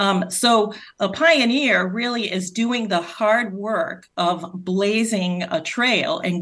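A woman speaks with a Rhode Island accent at a medium pitch. Her pace is very slow, with ordinary pitch variation. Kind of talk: interview.

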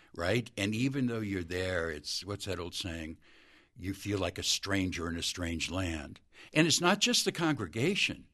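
Man with a very deep, low pitch, a bright, sharp tone, lively intonation and a moderate pace. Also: quiet background. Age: 60s. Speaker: former addiction ministry worker. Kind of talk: testimony.

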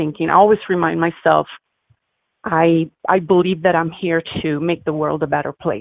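A woman speaks in an Italian accent at a fairly low pitch. Her pace is moderate and her intonation fairly even. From Italy, Milan. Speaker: humanitarian and photographer. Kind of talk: interview.

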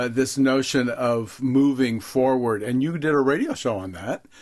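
A man with a normal speaking voice uses a medium pitch, ordinary pitch variation, and a moderate pace. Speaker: guest author and leadership writer. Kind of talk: interview about his writing.

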